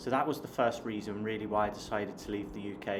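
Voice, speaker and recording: In a southern English accent, a man with a fairly low pitch speaks amid noticeable background noise and audible room echo. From southern England (Hampshire). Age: 30s. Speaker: online business coach and vlogger. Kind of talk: casual vlog talk to camera. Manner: hesitant, with fillers and repeated words.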